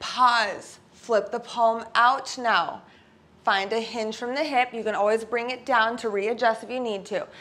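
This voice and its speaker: A woman speaks very slowly in a bright, sharp tone, her intonation fairly even. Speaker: pilates instructor. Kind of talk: workout instruction. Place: home room.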